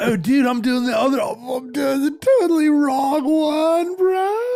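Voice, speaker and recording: A man puts on a character voice with an extremely high pitch and talks at a fairly slow pace. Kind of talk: casual, slangy. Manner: laid-back, relaxed.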